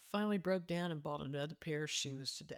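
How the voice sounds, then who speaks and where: A woman's very deep, low pitch with ordinary pitch variation, in a dry, close sound with no echo. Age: 70s. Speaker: retiree and Substack writer. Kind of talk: casual talk to camera. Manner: conversational, reflective.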